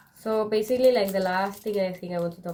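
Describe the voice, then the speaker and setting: Someone with a Spanish accent speaks at a very fast pace. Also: woman. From Spain. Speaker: YouTuber. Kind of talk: casual chat.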